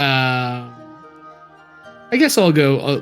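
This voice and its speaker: A man puts on a squeaky character voice and speaks very slowly. Clear music plays in the background. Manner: eager, babbling.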